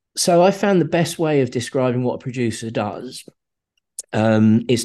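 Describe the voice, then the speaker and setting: Lively in intonation and fairly quick, a man speaks with a southern English accent. His voice is medium-pitched with a dark, mellow tone, over a quiet background. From southern England (Slough). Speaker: film producer. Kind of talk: interview, casual conversation. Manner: hesitant, with many fillers.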